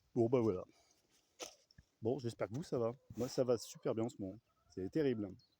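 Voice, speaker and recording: A soft-spoken man has a dark, mellow tone and ordinary pitch variation. He takes long, frequent pauses. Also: medium pitch for a man, moderate pace. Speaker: vlogger, hobby gardener with chickens. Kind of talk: casual vlog monologue. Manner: hesitant, many fillers.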